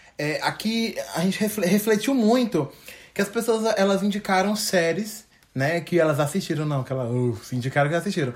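A man speaks in a high pitch with lively intonation. His tone is animated and his pace moderate. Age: 20s. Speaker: podcast co-host. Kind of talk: casual chat.

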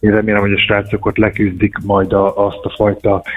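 Against noticeable background noise, a man speaks in a fairly low voice with monotone, flat intonation. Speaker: former handball player, national team. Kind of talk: radio phone interview. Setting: phone call.

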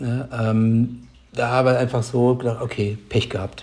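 A man speaks in a monotone, flat intonation. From near Heidelberg, southwest Germany. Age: 50s. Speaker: software company employee and start-up founder. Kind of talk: casual interview about personal story. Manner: hesitant, many filler sounds.

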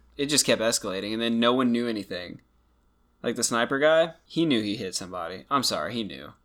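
Very fast and with lively intonation, a man delivers his words. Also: medium pitch for a man. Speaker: true crime podcast co-host. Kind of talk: casual podcast chat. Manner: casual, joking, sarcastic.

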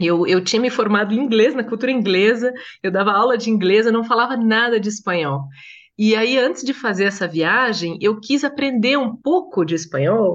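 A woman with an ordinary speaking voice talks at a moderate pace over a quiet background, her pitch fairly high. Her intonation is lively and her loudness very even. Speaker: translator and journalist. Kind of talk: casual interview chat.

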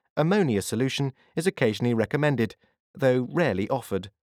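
Animated and theatrical, a man speaks at a moderate pace in a very clean, dry, close recording with a silent background and no echo. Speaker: audiobook narrator. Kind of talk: scripted audiobook narration, dramatic and wryly humorous reading. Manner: animated, theatrical and polished, with dry comic timing.

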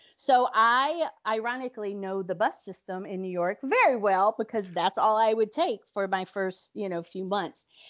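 Speaking in an American accent at a moderate pace, a woman with a medium pitch and ordinary pitch variation talks with hardly any pauses over a quiet background. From rural North Carolina. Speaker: theater music director and teaching artist. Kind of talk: casual interview.

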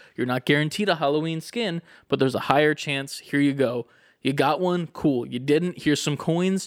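On a very clean recording with a silent background, a man talks at a moderate pace in an animated tone, his pitch fairly high with ordinary pitch variation. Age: 20s. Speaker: gaming podcast co-host. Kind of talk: casual chat.

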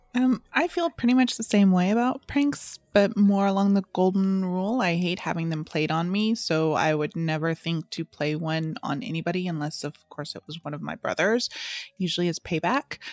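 A woman's ordinary speaking voice at medium pitch with lively intonation, a moderate pace and hardly any pauses, dry and close with no echo, on a very clean recording with a silent background. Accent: American. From Southern California, US. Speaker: podcast co-host. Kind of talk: casual chat.

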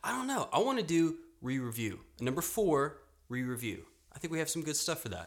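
A man with a fairly high pitch talks at a fairly quick pace, his voice swinging very widely in pitch between long, frequent pauses. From Louisiana. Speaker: podcast co-host. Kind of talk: casual chat.

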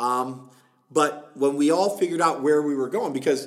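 A man with a fairly high voice speaks with ordinary pitch variation. It is an ordinary speaking voice. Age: middle-aged. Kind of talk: casual interview.

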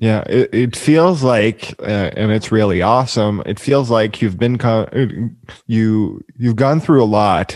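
Speaking fairly slowly, a man uses a normal speaking voice at medium pitch with ordinary pitch variation. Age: 20s. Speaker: podcast host. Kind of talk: casual chat; scripted outro. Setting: video call.

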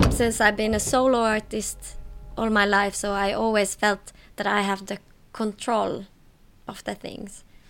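A woman speaks at a fairly slow pace in a medium pitch, with music in the background. Her intonation is flat and monotone. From Finland, Tampere. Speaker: aerial acrobat. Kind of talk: interview talk.

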